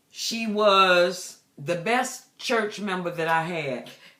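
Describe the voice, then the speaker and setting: A woman's bright, sharp tone at a fairly low pitch, lively intonation, and audible room echo. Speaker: pastor and deliverance minister. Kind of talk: personal testimony. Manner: casual, conversational with fillers.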